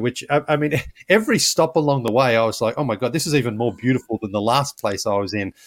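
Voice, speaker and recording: A man speaks at a very fast pace. The recording is very clean with a silent background, and the sound is dry and close with no echo. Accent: Australian. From Australia. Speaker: former basketball podcast host, traveler. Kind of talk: casual interview.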